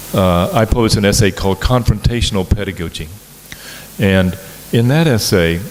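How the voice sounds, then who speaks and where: A man talks in a fairly low voice against noticeable background noise. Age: 60s. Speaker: professor. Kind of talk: lecture. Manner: halting, with many fillers.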